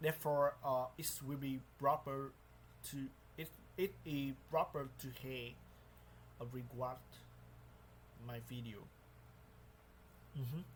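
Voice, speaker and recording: A man's somewhat breathy voice at medium pitch, very slow, fairly even in intonation, with long, frequent pauses. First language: not English. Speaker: English learner. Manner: halting.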